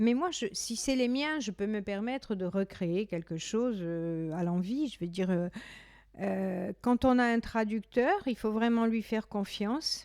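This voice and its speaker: Speaking in a Corsican accent, a woman uses a fairly high pitch and lively intonation. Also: fairly slow pace. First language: Corsican (speaking French). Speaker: poet and singer. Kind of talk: interview. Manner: halting.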